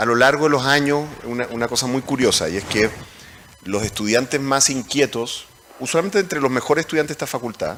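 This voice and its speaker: A man talks with a Chilean accent and lively intonation. His pace is fairly quick, with noticeable background noise. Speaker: moderator, economics professor. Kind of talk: panel discussion. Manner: halting.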